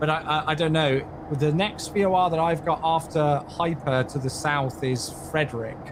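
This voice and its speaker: Here a man with an English accent speaks at a fairly high pitch and a moderate pace, with fairly even intonation and very even loudness. Noticeable background noise runs under him. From England. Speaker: community manager hosting flight sim livestream. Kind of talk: live-stream tutorial chat. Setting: livestream.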